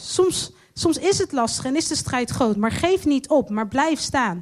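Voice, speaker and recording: High-pitched female speech full of lively intonation. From Netherlands. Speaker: guest preacher. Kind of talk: sermon.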